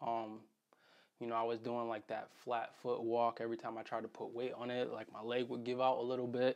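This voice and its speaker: In an American accent, the speaker moves at a fairly quick pace with monotone, flat intonation. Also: man, medium pitch for a man. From Connecticut, US. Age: 20s. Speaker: vlogger recounting injury recovery. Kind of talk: personal vlog. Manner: casual with frequent fillers.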